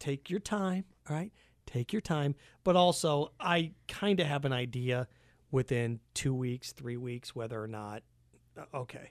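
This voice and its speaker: Here is a man with a normal speaking voice, fairly high in pitch. He goes at a fairly slow pace with lively intonation. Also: dry, close sound with no echo. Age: 30s. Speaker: podcast guest. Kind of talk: casual chat.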